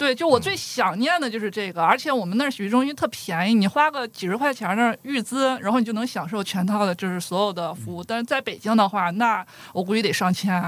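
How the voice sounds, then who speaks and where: Words come very fast, with hardly any pauses between them. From Dandong, Liaoning (northeast China). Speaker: guest. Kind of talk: casual chat.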